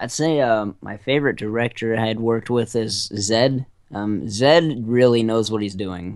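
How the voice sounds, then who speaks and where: A man with an ordinary speaking voice speaks at a moderate pace and medium pitch. His pitch variation is ordinary, and the background is quiet. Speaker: voice actor. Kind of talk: interview answer.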